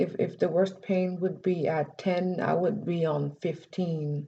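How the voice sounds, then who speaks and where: A woman speaks very slowly in a somewhat breathy voice with a dark, mellow tone and very even loudness. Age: 30s. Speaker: vlogger. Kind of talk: personal vlog testimony. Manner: halting.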